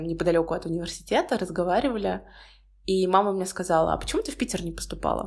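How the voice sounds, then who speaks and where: A woman's very fast speech with vocal fry. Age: 20s. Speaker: podcaster, university student. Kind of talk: solo podcast monologue.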